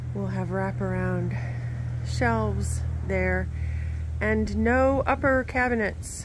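A woman's voice, dry with no echo, over light background noise. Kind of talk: casual walkthrough tour. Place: open country. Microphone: phone near.

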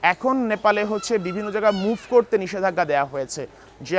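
A man speaks with ordinary pitch variation. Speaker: news reporter. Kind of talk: field news report. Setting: on location in Kathmandu.

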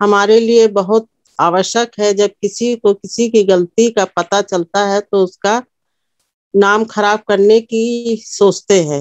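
In a dry sound with no echo and a quiet background, a woman speaks at a very slow pace with fairly even intonation. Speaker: speaker. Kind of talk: sermon. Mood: calm, earnest devotional. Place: home room. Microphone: phone near.

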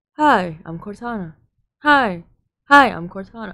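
At a moderate pace, a female-sounding voice puts on a robotic character voice at medium pitch. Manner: robotic, synthetic.

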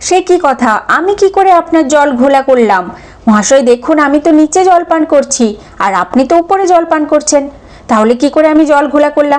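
In a put-on character voice, a woman speaks at a fairly quick pace with a high, shaky pitch. Light background noise sits underneath. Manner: frightened, pleading.

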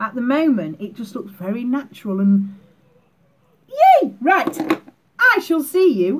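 A woman with a high voice speaks at a very slow pace over noticeable background noise. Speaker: beauty vlogger. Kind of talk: makeup tutorial. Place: home room. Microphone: webcam.

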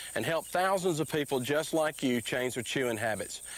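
In a dry sound with no echo, a man speaks at a fairly quick pace. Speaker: company spokesman in commercial. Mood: friendly, thankful. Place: open country.

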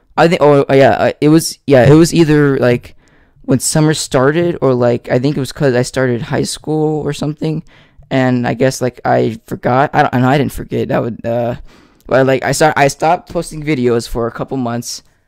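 A man speaks at a moderate pace in a fairly high pitch, his intonation fairly even, with a dry sound, no echo and a quiet background. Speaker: ASMR youtuber. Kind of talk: casual chat to camera. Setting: home recording with microphone. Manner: halting. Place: home room. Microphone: studio mic.

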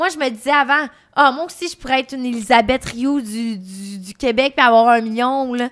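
A woman with a high pitch and ordinary pitch variation talks at a moderate pace with hardly any pauses over a quiet background. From Quebec. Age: 20s. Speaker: adult content creator. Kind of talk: casual chat. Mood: animated, casual storytelling. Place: studio. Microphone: studio mic.

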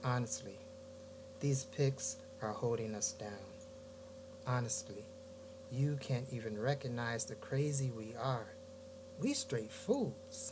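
Over noticeable background noise, a man speaks at a very slow pace, leaving long, frequent pauses. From US Midwest, Gary, Indiana; Indiana. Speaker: poet. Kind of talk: poetry reading. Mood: reflective, warm. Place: home room. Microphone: webcam.

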